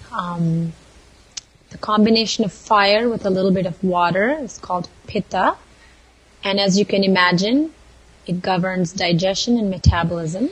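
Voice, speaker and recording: A woman speaks at a moderate pace with medium pitch and ordinary pitch variation, leaving long, frequent pauses. Noticeable background noise runs beneath her. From southern India, Mysore. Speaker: Ayurvedic lifestyle and culinary coach. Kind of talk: casual chat.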